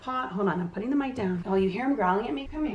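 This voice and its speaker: The voice sounds animated, with lively intonation. Audible room echo and noticeable background noise surround it. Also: woman. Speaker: podcast host. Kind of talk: casual chat.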